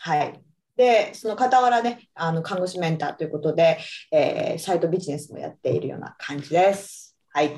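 A woman speaks at a moderate pace in a fairly low pitch, with a dark, mellow tone. Her intonation is lively, and her loudness swings widely. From Japan, Iwate. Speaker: nurse. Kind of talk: casual chat.

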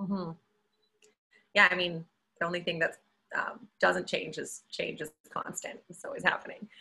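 A woman with a Canadian accent at a moderate pace, with big swings in loudness and long, frequent pauses. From Calgary, Canada. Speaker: engineer. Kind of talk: casual chat.

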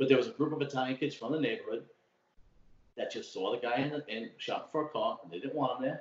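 A man talks at a very fast pace. He has a strong Brooklyn accent. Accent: strong old school Brooklyn. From Brooklyn, New York. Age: 40s. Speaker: city worker and podcaster. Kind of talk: casual chat. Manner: talkative.

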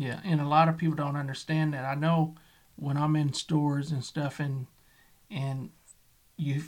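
With music in the background, a man speaks at a fairly slow pace and fairly high pitch, in monotone, flat intonation. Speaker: podcast host. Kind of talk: interview.

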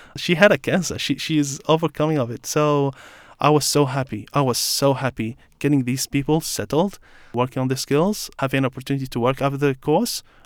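With an Arabic accent and a fairly high pitch, a man talks at a fairly quick pace, the sound dry and close with no echo on a very clean recording with a silent background. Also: ordinary pitch variation. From Iraq. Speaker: refugee guest. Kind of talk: interview. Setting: studio.

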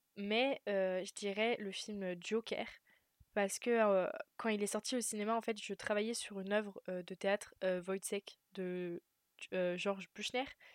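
A woman speaks at medium pitch and a fairly slow pace. Her intonation stays monotone and flat. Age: 20s. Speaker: film student. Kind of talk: interview. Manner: hesitant, many fillers.

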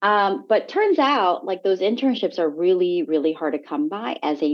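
At a moderate pace, a woman with an American accent talks at a medium pitch that swings very widely. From Korea, moved to the US at nine. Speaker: TV entertainment journalist. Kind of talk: interview conversation. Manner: animated.

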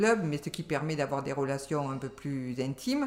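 A woman's very deep, low pitch at a fairly slow pace. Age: 60s. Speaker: retired civil servant. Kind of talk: casual interview.

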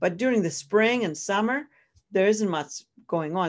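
A woman talks at a moderate pace with a Greek accent. The background is quiet. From Greece. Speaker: professor. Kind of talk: interview. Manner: halting.

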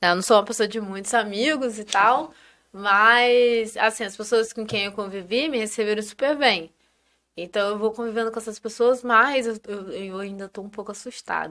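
At a moderate pace, a woman speaks in a bright, sharp tone at a fairly high pitch, with fairly even intonation and big swings in loudness. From northern Rio de Janeiro state (Campos). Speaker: engineer and content creator. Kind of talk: casual chat.

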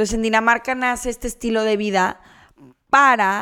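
Over a silent background on a very clean recording, a woman speaks at a very slow pace with fairly even intonation. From Mexico, Guadalajara. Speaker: podcast co-host. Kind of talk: casual chat.

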